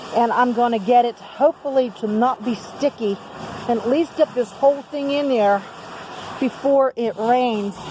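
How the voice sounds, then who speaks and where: A woman speaks at a moderate pace with a high pitch and ordinary pitch variation. Noticeable background noise runs behind her. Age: 60s. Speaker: DIY video maker. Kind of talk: casual tutorial. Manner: casual, halting with fillers.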